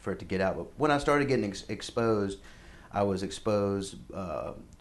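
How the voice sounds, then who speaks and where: Audible room echo surrounds a man's voice. He talks at a moderate pace with a fairly low pitch. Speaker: musician. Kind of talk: interview. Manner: halting.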